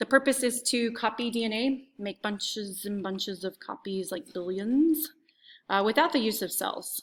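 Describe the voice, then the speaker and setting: Bright and sharp in tone, a woman's fairly high voice shows ordinary pitch variation on a very clean recording with a silent background. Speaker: high school biology teacher. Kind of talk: recorded review lecture. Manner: fast.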